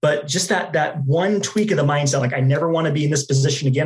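A man's fairly high voice at a fairly quick pace, a normal speaking voice. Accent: American. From Dallas, Texas. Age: 20s. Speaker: customer success manager and podcaster. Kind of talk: casual interview.

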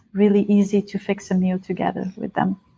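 This woman's voice is somewhat breathy, at a medium pitch. Her intonation is monotone and flat. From Bulgaria. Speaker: Ayurvedic chef and educator. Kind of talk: interview.

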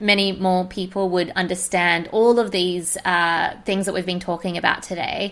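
A woman speaks at a medium pitch with monotone, flat intonation. She leaves hardly any pauses. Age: 30s. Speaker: podcast host and business coach. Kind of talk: casual interview chat. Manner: laughs often.

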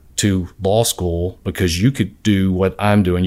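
Very deep and low in pitch, a man with a Southern US accent speaks at a moderate pace with fairly even intonation. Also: very clean recording, silent background. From US South, southwest Georgia (Albany). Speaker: patent attorney. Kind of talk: interview conversation.

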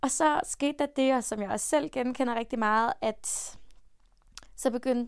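A woman with a high pitch speaks at a fairly slow pace on a very clean recording with a silent background. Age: 20s. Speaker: podcast host and self-esteem coach. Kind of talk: casual monologue.

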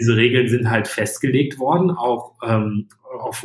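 A somewhat breathy man speaks at a moderate pace and a medium pitch. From Germany, Sauerland (Iserlohn area). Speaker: startup founder. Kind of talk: interview.

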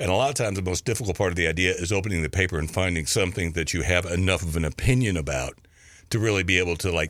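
In a very clean recording with a silent background, a man with an American accent talks at a very fast pace in a very deep, low pitch. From Kentucky, US. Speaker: cartoonist. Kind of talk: casual interview chat. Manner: halting, filler-heavy.

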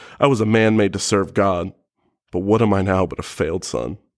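A man speaks in an ordinary speaking voice, his fairly low pitch and fairly even intonation moving at a moderate pace over a very clean recording with a silent background. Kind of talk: poetry performance. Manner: solemn, anguished.

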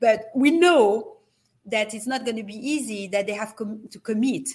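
A woman's somewhat breathy, fairly high voice with a French accent. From France. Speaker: wellness retreat company executive. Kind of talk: interview. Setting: video call.

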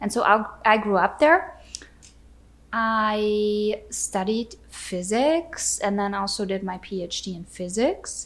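Woman with a German accent, fairly high in pitch, lively in intonation and very slow, in a very clean recording with a silent background. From Austria. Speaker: battery industry entrepreneur and podcast host. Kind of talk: casual chat. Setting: at home on the couch by the fireplace.

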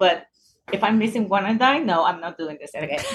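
A woman's somewhat breathy voice rises and falls with lively intonation. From Puerto Rico. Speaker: running group founder. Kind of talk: casual chat.

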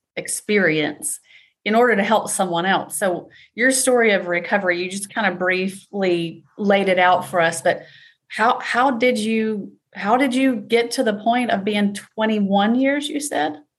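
A woman at medium pitch with ordinary pitch variation, an unremarkable speaking voice. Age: 40s. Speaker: podcast host. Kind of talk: casual interview chat.

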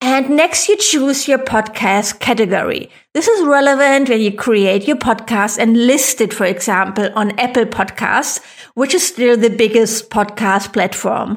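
The speaker has a German accent and talks at a fairly slow pace. Loudness stays very even, and the pitch varies in an ordinary way. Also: woman. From Germany. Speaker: podcast host and online business coach. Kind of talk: tutorial, step-by-step podcast advice.

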